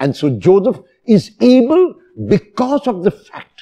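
The man's tone is dark and mellow. He speaks at a very slow pace with very wide pitch swings. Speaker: priest. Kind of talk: sermon.

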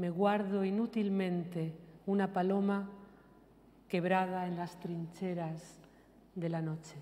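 Here a woman talks very slowly. Her voice has a medium pitch and a dark, mellow tone. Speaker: poet. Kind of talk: poetry reading. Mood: calm, measured, reflective. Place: hall.

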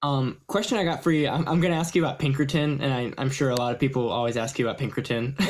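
Very fast speech from a man with a fairly high pitch, ordinary pitch variation, hardly any pauses, and light background noise. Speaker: audio student; guest. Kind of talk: Q&A question. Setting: video call. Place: home room. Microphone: video call.

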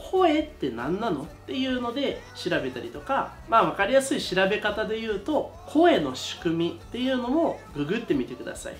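A man talks at a moderate pace in a high pitch with very wide pitch swings. Light background noise sits behind him. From Brazil. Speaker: voice teacher. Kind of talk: casual talk to camera. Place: studio.

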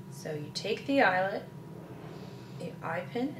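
A woman talks fairly slowly as noticeable background noise carries on. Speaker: presenter. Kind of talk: tutorial. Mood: calm, gentle. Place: kitchen.

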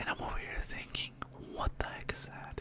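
Loud background noise accompanies a man's voice recorded with a dry sound and no echo. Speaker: storyteller vlogger. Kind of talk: casual storytelling. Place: home room. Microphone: studio mic.

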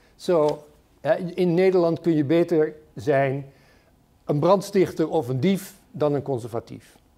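A man with a Dutch accent speaks at a moderate pace in a fairly high pitch, with ordinary pitch variation. His tone is dark and mellow, broken by long, frequent pauses. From Netherlands. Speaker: political commentator and moderator. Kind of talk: lecture introduction and moderated discussion. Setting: stage with audience. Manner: halting. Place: hall. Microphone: podium.

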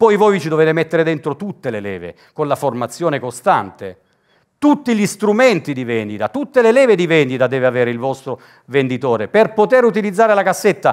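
The speaker moves at a fairly quick pace with very wide pitch swings. The background is quiet. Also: man. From Italy, Lecce (Apulia). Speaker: business coach. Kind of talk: workshop talk to audience. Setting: stage with audience. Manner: animated. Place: hall. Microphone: headset.

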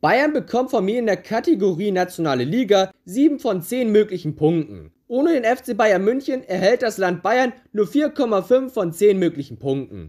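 The speech moves at a fairly slow pace. It has hardly any pauses. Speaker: football YouTuber. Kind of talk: scripted narration. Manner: swallows letters, imperfect pronunciation.

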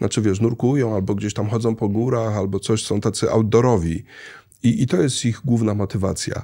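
Man's dark, mellow tone at a fairly quick pace, with fairly even intonation and a quiet background. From Poland, childhood partly in Kenya. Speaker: traveller and real estate investor; guest. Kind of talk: casual interview. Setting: studio. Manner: halting, many fillers. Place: studio. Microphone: studio mic.

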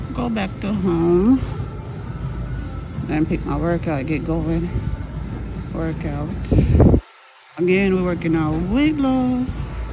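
The voice moves at a very slow pace with long, frequent pauses, music playing in the background. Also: woman. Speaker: vlogger working out. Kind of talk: casual vlog chat. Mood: relaxed, mildly annoyed. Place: gym. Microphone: phone near.

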